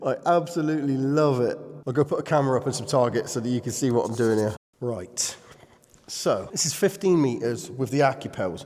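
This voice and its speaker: A man with a British accent talks at a fairly quick pace in a medium pitch with ordinary pitch variation, over noticeable background noise. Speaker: airgun YouTuber. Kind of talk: casual vlog narration. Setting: underground bunker, reverberant. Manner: quiet, trying to limit reverb.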